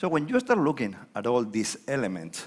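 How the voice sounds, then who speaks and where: A man talks at a moderate pace with a Spanish accent. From Spain. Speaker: economist. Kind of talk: conference keynote talk. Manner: informal, conversational with hesitations.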